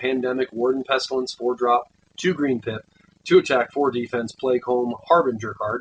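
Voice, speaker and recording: At a fairly quick pace, a man speaks at a medium pitch in a dry, close sound with no echo. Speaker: gaming youtuber. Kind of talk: card game spoiler review. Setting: closet. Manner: fast.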